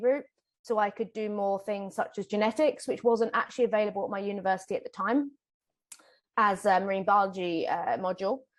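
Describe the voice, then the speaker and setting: A fairly quick delivery with a British accent and ordinary pitch variation. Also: woman. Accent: British, noticeable. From UK. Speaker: ecologist, whale researcher. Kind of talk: interview, casual. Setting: recording in person together.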